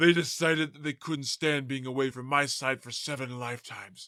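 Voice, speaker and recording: Using a put-on character voice, a man talks at a fairly quick pace and medium pitch. The recording is very clean, with a silent background. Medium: audio drama. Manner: casual, matter-of-fact.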